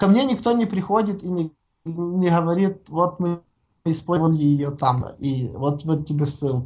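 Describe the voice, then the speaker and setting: A woman's fairly low, dark, mellow voice, somewhat breathy, with lively intonation at a fairly slow pace. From Ukraine. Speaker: software developer, framework author. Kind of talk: casual interview. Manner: halting, many fillers and repetitions; long-winded talker.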